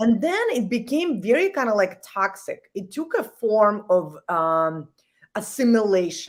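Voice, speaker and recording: Her intonation lively, a woman speaks with a slight non-native accent. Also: fairly high pitch for a woman, fairly slow pace. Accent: slight foreign. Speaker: executive coach. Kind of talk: casual interview. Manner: animated.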